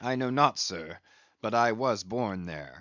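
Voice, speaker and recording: Doing a put-on character voice, a man speaks at a fairly slow pace with a raspy, medium-pitched delivery. His intonation is lively. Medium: read story. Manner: deferential, old-fashioned speech.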